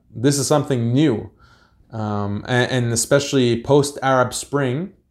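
An unremarkable speaking voice from a man with an American accent, at medium pitch with fairly even intonation, on a very clean recording with a silent background. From United States. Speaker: Islamic activist and institute founder. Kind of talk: podcast interview.

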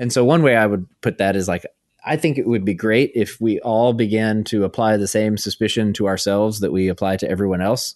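With an American accent and an unremarkable speaking voice, a man talks at a fairly quick pace and fairly low pitch, using ordinary pitch variation, in a dry, close recording with no echo and a quiet background. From US South, Arkansas small town. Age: 30s. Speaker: author and theologian. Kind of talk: interview conversation.

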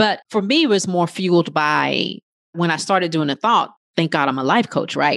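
A normal speaking voice at a moderate pace, with ordinary pitch variation and very even loudness. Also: woman, fairly low pitch for a woman. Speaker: life coach. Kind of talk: casual group discussion.

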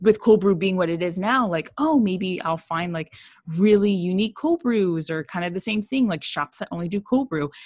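A woman with an American accent talks at a moderate pace in a medium pitch, with lively intonation. The sound is dry and close, with no echo. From San Diego, California. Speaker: dietitian and coffee reviewer podcaster. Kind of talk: casual chat.

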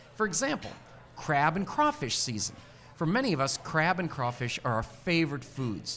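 Pitch swings very widely as a man talks at a moderate pace, with music in the background. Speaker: radio host. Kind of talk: casual interview.

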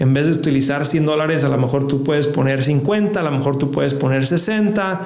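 A man at a fairly quick pace with ordinary pitch variation, amid noticeable background noise and audible room echo. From Mexico, Ciudad Juárez. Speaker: financial podcast host, investment expert. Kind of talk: educational monologue. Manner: repeats words, self-corrects.

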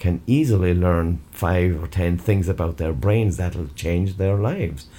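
In an Irish accent, a man speaks at a fairly slow pace with a very deep, low pitch and a dark, mellow, somewhat breathy tone. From Ireland. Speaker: educator. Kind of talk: interview.

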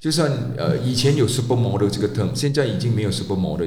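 A man's pitch swings very widely, with audible echo from the room. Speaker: former male model. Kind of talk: solo storytelling podcast. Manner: halting, many fillers.

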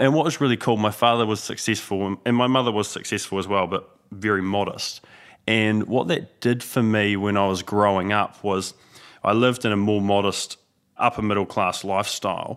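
On a very clean recording with a silent background, a man with a New Zealand accent and a fairly low pitch speaks at a moderate pace, his intonation fairly even and his loudness very even. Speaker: business owner. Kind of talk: casual chat.

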